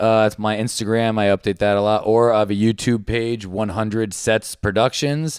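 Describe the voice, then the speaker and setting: A man talks in a plain, everyday voice at a medium pitch and moderate pace. The sound is dry and close, with no echo. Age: 30s. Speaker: comedian and video maker. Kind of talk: casual joking chat.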